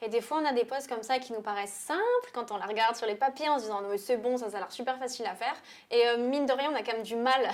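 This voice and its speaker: A woman talks very fast at a high pitch, with hardly any pauses. Her pitch varies in an ordinary way while her loudness swings widely. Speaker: portrait photographer. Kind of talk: tutorial.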